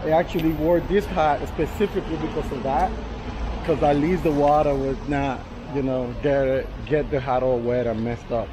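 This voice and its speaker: Background noise is clearly audible behind a man who speaks at a moderate tempo. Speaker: travel vlogger. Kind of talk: casual vlog chat. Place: street. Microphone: phone near.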